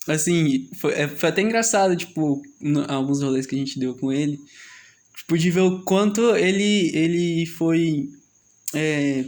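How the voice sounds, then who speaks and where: At a fairly slow pace, the speech shows ordinary pitch variation. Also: man, fairly high pitch for a man. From Goiás, Brazil. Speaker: podcast host. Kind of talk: casual chat. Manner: halting, many fillers.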